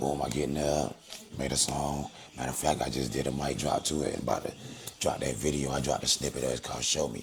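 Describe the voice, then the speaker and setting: Speaking at a very fast pace, a man with a very deep, low pitch keeps a monotone, flat intonation against noticeable background noise. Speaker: rapper. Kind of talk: casual interview.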